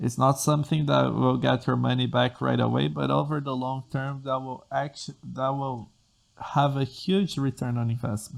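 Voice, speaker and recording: In a Portuguese accent, a man talks at a moderate pace. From Brazil. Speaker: programming tutor and podcast host. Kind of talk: solo podcast monologue. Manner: halting with self-corrections.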